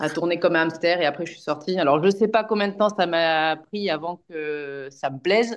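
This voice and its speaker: A woman with an ordinary speaking voice talks at a moderate pace, barely pausing, with big swings in loudness. Her pitch is fairly low, with ordinary pitch variation. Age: 40s. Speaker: amateur trail runner. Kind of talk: casual interview chat.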